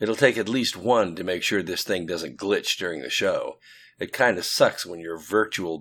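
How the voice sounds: What you hear is a natural reading voice.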